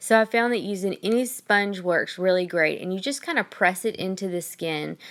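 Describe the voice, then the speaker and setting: This woman has a Southern US accent and a medium pitch that varies in an ordinary way. She talks at a moderate pace on a very clean recording with a silent background. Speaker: makeup artist. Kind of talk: makeup tutorial. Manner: casual, frequent ums.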